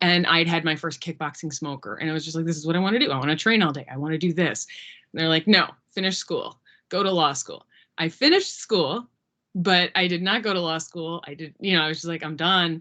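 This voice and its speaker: Talking at a very fast pace, a woman uses a fairly low pitch with ordinary pitch variation. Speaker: former MMA fighter. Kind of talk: class Q&A talk. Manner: digressive, fast-paced.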